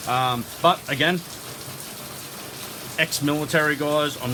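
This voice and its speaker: An Australian accent from a man with fairly high pitch over noticeable background noise. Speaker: YouTuber. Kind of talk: casual monologue. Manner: loud.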